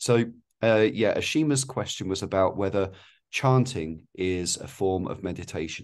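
At a moderate pace, a man speaks at a fairly low pitch with a quiet background. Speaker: teacher hosting discussion. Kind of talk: casual interview. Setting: video call. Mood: calm, encouraging. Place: home room. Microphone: video call.

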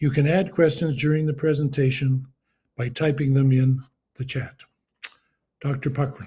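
In a room with audible echo, a man speaks at a moderate pace and medium pitch, with a dark, mellow tone and little pitch movement.

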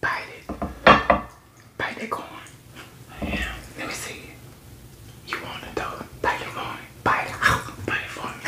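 Whispering at a moderate pace, a woman leaves long, frequent pauses and her loudness swings widely. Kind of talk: casual talk to camera. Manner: whispered. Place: kitchen.

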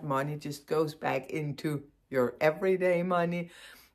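Against a quiet background, a woman speaks at a very slow pace. She has a Danish accent. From Denmark. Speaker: knitting podcaster. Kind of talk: casual chat. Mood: cheerful, warm. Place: home room. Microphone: phone near.

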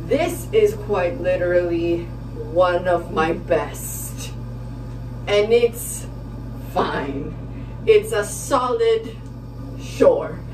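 A woman speaks very slowly with long, frequent pauses while noticeable background noise plays. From Dominican Republic. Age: 20s. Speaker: YouTube vlogger and college student; vlogger. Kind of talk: casual vlog. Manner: animated.

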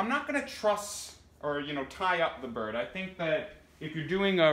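A man with a fairly high pitch and a bright, sharp tone talks at a moderate pace using lively intonation.

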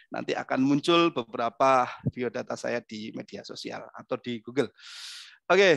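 The man's pitch varies in an ordinary way. His voice sounds dry with no echo, and the background is quiet. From East Java, Indonesia. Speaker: motivator and trainer; trainer. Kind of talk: webinar talk. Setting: video call. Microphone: headset.

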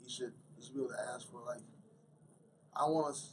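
A man speaks at a very fast pace, his voice somewhat breathy. Noticeable background noise runs under the recording. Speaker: MMA fighter. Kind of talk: interview. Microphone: podium.

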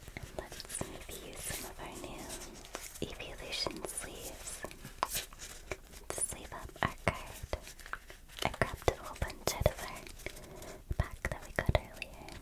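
Whispering and soft-spoken, the speaker goes at a fairly slow pace with long, frequent pauses. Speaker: card opening host. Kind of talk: soft casual commentary. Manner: soft ASMR whisper.

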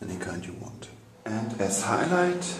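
A man speaks at a fairly slow pace in a fairly low pitch. Background noise is noticeable. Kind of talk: casual tour commentary. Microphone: phone near.

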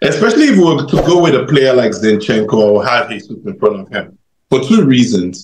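The man's intonation is lively and his pitch is medium. There is audible room echo. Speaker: football fan panelist. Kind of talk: post-match fan debate. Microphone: video call.

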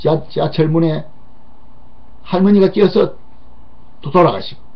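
A man speaks with a high pitch. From South Korea. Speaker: political commentator. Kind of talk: political commentary monologue. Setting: studio. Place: studio. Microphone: webcam.

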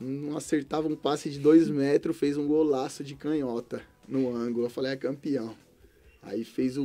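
A man at a moderate pace with fairly even intonation, faint music in the background. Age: 30s. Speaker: former professional footballer; guest. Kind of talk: interview. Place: studio. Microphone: studio mic.

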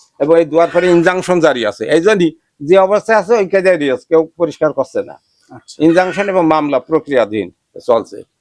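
Lively intonation colors the high-pitched voice of a man. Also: dry, close sound with no echo. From Bangladesh, Jhenaidah district. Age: old. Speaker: retired teacher and local guide. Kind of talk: on-site interview, informal explanation. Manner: halting.

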